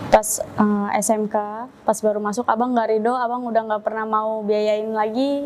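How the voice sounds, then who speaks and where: A woman's fairly high voice at a moderate pace, flat and monotone, over noticeable background noise. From Indonesia, Jakarta (East Jakarta). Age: 20s. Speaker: religious convert. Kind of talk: testimony.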